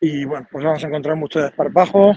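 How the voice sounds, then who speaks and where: Ordinary pitch variation runs through this speech, delivered at a fairly quick pace. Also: man. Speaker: assistant basketball coach. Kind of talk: interview. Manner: halting.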